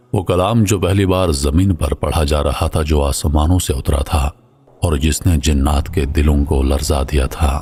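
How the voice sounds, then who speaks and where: The man's pitch is very deep and low, with ordinary variation and very even loudness. There is noticeable background noise. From Pakistan. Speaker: voice over artist. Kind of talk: religious story narration.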